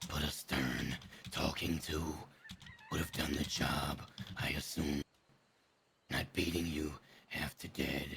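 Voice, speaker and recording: Putting on a character voice, a man growls very deep and low in a flat monotone, speaking fairly slowly with long, frequent pauses. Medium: game stream. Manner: blunt, frank.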